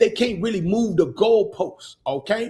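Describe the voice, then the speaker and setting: A man talks in a high-pitched voice. His tone is animated and his intonation lively. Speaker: podcast host teaching business credit. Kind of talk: livestream teaching talk.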